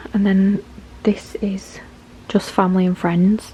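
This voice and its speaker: Soft-spoken and with a British accent, a woman talks at a fairly slow pace in a medium pitch with monotone, flat intonation over noticeable background noise. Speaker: vlogger, mum. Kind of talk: casual vlog talk. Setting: at home. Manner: quiet, talking softly.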